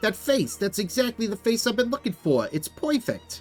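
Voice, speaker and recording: A man puts on a character voice, pitched high for a man, with lively intonation at a moderate pace over faint background music. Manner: flirtatious, exaggerated.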